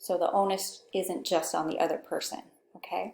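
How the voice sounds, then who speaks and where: The speaker is soft-spoken. The voice carries a Pacific Northwest accent. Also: woman. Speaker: communication instructor. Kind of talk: lecture. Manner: conversational.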